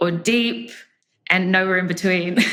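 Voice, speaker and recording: A woman with an Australian accent speaks at a medium pitch in a bright, sharp tone. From Australia, Brisbane. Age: 30s. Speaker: podcast guest. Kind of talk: casual interview. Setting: remote call.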